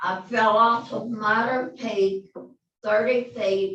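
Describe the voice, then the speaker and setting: In a West Texas accent, a woman speaks at a medium pitch and a very slow pace, with ordinary pitch variation and audible room echo. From Alpine, West Texas. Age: 80s+. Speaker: resident making public comment. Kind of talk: public comment.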